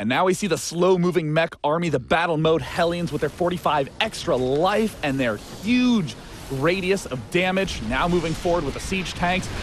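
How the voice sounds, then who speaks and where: A man talks in an excited tone at a high pitch with lively intonation and hardly any pauses, with music in the background. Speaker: esports shoutcaster. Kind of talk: live game commentary. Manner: excited, fast.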